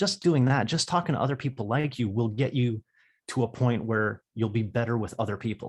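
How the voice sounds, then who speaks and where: A man's somewhat breathy, medium-pitched voice at a moderate pace, with ordinary pitch variation, on a very clean recording with a silent background. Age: 30s. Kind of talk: podcast interview. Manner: halting, many repetitions.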